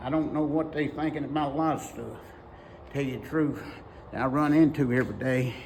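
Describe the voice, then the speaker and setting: Pausing long and often, a man with a Southern US accent speaks at a fairly quick pace, his fairly high pitch held in monotone, flat intonation. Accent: Southern American. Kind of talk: casual talk to camera. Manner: folksy, rambling.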